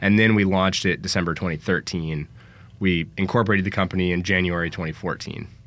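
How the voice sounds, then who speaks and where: With an American accent and a very deep, low pitch, a man talks at a very fast pace in a flat, monotone way over music in the background. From San Francisco, California. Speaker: outdoor gear company founder. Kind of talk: casual chat. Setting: studio.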